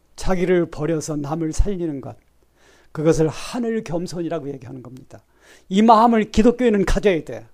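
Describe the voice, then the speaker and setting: With lively intonation and big swings in loudness, a man speaks at a moderate pace in a high voice. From South Korea. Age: 70s. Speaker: pastor. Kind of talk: sermon.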